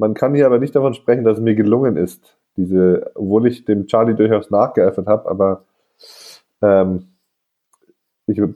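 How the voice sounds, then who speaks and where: Here a man talks at a medium pitch and a moderate pace, with ordinary pitch variation. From northern Germany. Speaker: podcast host. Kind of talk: casual chat. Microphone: recorded on phones, scratchy audio.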